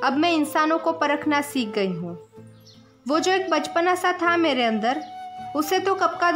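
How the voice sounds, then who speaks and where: Over music in the background, a woman talks at a high pitch with lively intonation. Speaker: poet. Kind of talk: poetry reading.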